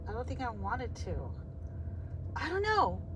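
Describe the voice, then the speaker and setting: Moderate speed from a woman, amid audible room echo and noticeable background noise. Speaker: vlogger. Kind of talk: casual vlog monologue. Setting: outdoors. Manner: slurred words; rambling, halting.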